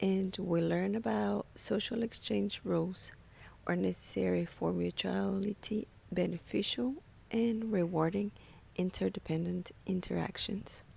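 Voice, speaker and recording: Speaking with a non-native accent, a woman talks at a fairly slow pace. Her loudness stays very even. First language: not English. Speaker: graduate psychology student. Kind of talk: class presentation. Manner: slow and careful.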